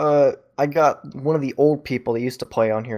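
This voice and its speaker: Ordinary pitch variation marks this man's speech. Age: 18. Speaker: film student and gaming community moderator. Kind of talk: casual chat.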